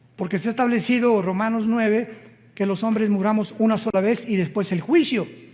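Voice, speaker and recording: High in pitch, a man talks at a fairly quick pace with fairly even intonation. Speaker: pastor. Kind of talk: sermon.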